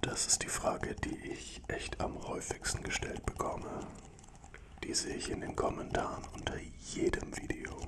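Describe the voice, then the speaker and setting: A man at a fairly slow pace against loud background noise. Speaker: ASMR content creator. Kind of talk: soft ASMR chat to viewers. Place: studio. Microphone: studio mic.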